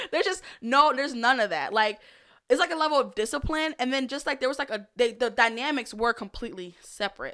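In a very clean recording with a silent background, a woman with a high pitch and a bright, sharp tone speaks very fast in a raised, projected voice, animated and with lively intonation. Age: 30s. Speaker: podcast guest, childhood storyteller. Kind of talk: casual chat.

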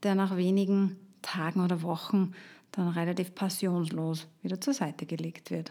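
A woman's dark, mellow tone at a fairly slow pace on a very clean recording with a silent background. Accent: Austrian. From Austria, Upper Austria. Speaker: health coach. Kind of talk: solo podcast talk.

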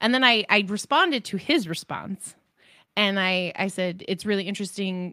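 On a very clean recording with a silent background, a woman with an American accent talks at a moderate pace. Her medium-pitched voice has a bright, sharp tone and lively intonation. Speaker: tabletop role-player and podcaster. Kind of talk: casual chat. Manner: talkative.

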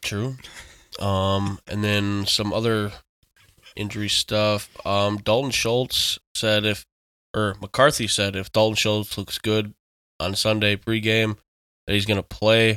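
A man with a bright, sharp tone and fairly low pitch speaks at a very slow pace in a flat monotone, leaving long, frequent pauses, the sound dry and close with no echo on a very clean recording with a silent background. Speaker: fantasy football podcast co-host. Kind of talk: casual chat.

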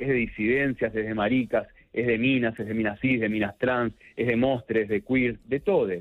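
A man talks at a moderate pace and medium pitch in an unremarkable speaking voice. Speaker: LGBT and HIV activist. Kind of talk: casual chat.

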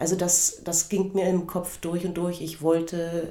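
A woman speaks with a very deep, low pitch. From eastern Germany, Cottbus. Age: 50s. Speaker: podcast host, former gymnast and karate instructor. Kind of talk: personal storytelling monologue.

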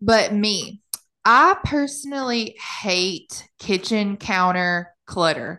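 Against a quiet background, a woman with an American accent speaks at a very slow pace in a medium pitch, her tone bright and sharp and her intonation lively. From US small town. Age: 20s. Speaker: podcast co-host. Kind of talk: casual chat.

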